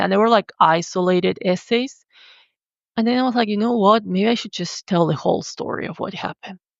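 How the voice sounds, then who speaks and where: With a Spanish accent, the speaker moves at a fairly quick pace with ordinary pitch variation. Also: woman. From Argentina. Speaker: writer and visual artist. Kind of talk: podcast interview, personal testimony.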